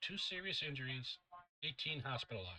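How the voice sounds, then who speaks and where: A man with an American accent talks at a moderate pace in a fairly high, bright, sharp voice with lively intonation. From US Northeast, Danbury, Connecticut. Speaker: weather enthusiast YouTuber. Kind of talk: reading aloud. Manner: halting.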